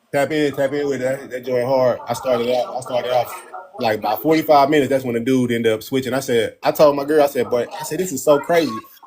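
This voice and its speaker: Noticeable background noise sits behind a man talking at a very fast pace. His pitch is medium, and his intonation stays fairly even. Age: 30s. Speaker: live stream host. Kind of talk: casual chat. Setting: live stream.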